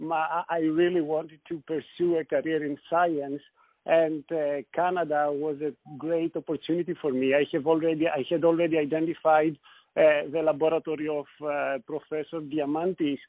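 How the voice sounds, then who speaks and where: Keeping a monotone, flat intonation, a man with a Greek accent speaks at a moderate pace and a fairly high pitch. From Greece, Thessaloniki. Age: 40s. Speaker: scientist. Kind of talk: interview.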